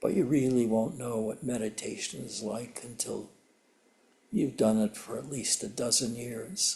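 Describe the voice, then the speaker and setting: A man speaks at a fairly slow pace in a medium-pitched voice with a dark, mellow tone, some vocal fry, and ordinary pitch variation. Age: 80s+. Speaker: spiritual teacher. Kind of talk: satsang talk. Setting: video call.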